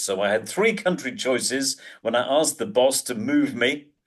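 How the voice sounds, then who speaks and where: The man's intonation is lively and his pace moderate. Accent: southern English. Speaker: presentation skills coach and professional speaker. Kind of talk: interview. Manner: sarcastic.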